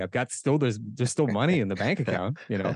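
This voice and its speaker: Very fast speech in a Midwestern US accent, lively in intonation, with a dry, close sound with no echo and a quiet background. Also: man. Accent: General American (Midwestern). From US Midwest, Omaha, Nebraska. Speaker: kettlebell instructor. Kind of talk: interview. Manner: casual.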